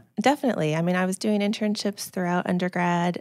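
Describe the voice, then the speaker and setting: In a Californian accent, a woman talks at a very fast pace with a fairly low pitch. The recording is very clean, with a silent background. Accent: General American (Californian). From US West Coast (Silicon Valley, California). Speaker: speech-language pathologist. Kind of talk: casual interview.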